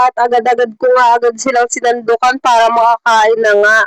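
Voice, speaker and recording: A woman with a high voice talks at a moderate pace, the sound dry and close with no echo. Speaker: vlogger. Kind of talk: vlog voiceover narration.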